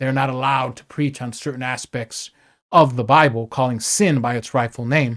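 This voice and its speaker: A man's medium-pitched voice, an ordinary speaking voice, at a fairly quick pace with fairly even intonation, on a very clean recording with a silent background. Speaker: podcast host. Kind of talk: political commentary monologue. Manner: casual with many filler words and restarts.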